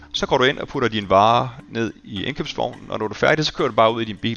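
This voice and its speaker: Very fast talking from a man, medium in pitch, its pitch varying in an ordinary way. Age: 40s. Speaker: tech company employee. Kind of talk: interview. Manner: halting.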